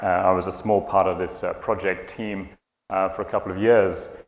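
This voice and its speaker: With a British accent and a fairly low pitch, a man speaks amid audible room echo. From UK. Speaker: conference speaker, tech entrepreneur. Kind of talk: conference talk.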